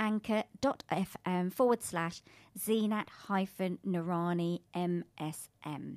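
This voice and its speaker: Pitch varies in an ordinary way, and the sound is dry and close with no echo. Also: woman. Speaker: radio host. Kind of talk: radio talk show hosting and interview. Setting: radio studio with headset.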